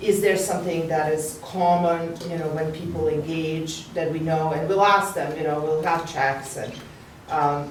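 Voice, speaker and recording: Her pitch very deep and low, a woman speaks fairly slowly with fairly even intonation, amid noticeable background noise and audible room echo. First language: not English. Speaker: neuroscience researcher. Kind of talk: academic panel discussion. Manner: halting, many fillers.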